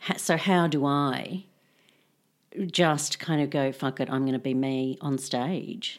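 Very slowly, a woman with an Australian accent speaks in a very deep, low voice on a very clean recording with a silent background. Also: ordinary pitch variation. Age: 40s. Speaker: philosophy professor. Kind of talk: casual interview chat.

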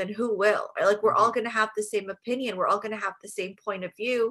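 A woman with a fairly high pitch speaks at a very fast pace. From Jordan. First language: Arabic. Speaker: stand-up comedian. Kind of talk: casual chat.

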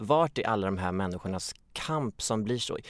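On a very clean recording with a silent background, a man speaks fairly slowly at a fairly low pitch. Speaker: stand-in podcast co-host. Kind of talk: casual chat.

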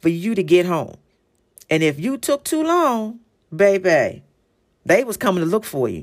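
A woman with a plain, everyday voice and an American accent speaks at a moderate pace and medium pitch on a very clean recording with a silent background. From Philadelphia, US. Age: 40s. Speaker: podcast host. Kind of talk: casual monologue.

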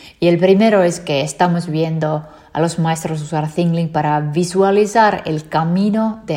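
A woman talks at a fairly slow pace in a fairly low voice. Her tone is dark and mellow, with fairly even intonation. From Finland. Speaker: tech company founder and CEO. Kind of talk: interview.

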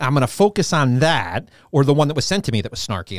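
A man with a New York accent and medium pitch, at a very fast pace with lively intonation, on a very clean recording with a silent background. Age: 40s. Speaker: co-host, fitness business founder. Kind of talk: casual chat. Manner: animated.

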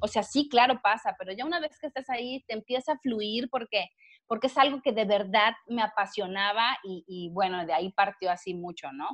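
A woman has an ordinary speaking voice, pitched fairly high. She talks at a moderate pace with lively intonation. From Mexico, Villahermosa, Tabasco. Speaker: biologist and animal rights activist. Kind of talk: casual interview chat.

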